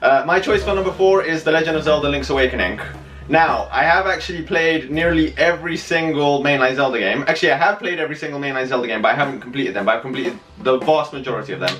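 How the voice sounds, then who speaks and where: Over noticeable background noise, a man with a British accent talks very fast at a fairly high pitch with ordinary pitch variation. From UK. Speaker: gaming channel co-host. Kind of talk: casual chat.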